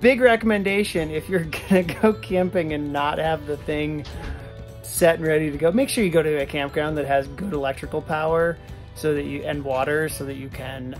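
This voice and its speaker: Faint music plays in the background. The voice moves at a moderate pace with ordinary pitch variation. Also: man. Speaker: family RV vlogger. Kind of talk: casual vlog chat. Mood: wry, mildly frustrated. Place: home room. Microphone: phone near.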